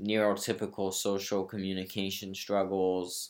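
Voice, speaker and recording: A man with an American accent speaks at a fairly low pitch and a fairly slow pace on a very clean recording with a silent background. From Brazil and US. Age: young. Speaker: podcast host, actor. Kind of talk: solo podcast monologue. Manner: halting, many ums and pauses.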